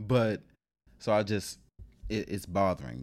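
This man speaks in an American accent with ordinary pitch variation on a very clean recording with a silent background. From Washington D.C. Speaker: guest, delivery driver. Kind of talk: casual chat.

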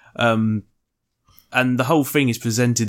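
A man with an unremarkable speaking voice, medium pitch and moderate pace, on a very clean recording with a silent background. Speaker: podcast co-host. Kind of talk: casual chat.

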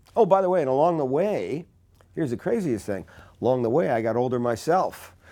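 A man with an American accent, fairly high-pitched for a man, at a fairly quick pace, with a dark, mellow tone and very wide pitch swings, on a very clean recording with a silent background. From New Jersey (Newark). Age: 60s. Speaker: aging expert. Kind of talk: interview.

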